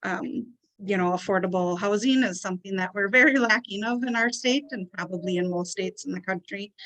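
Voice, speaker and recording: The woman's medium-pitched voice comes at a moderate pace, dry and close with no echo. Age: 40s. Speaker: social work student, award recipient. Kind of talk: award acceptance speech. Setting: video call.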